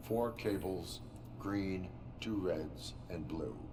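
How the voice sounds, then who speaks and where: A put-on character voice at a very slow pace over loud background noise. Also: man, very deep, low pitch for a man. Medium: video game. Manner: flat, clipped, emotionless.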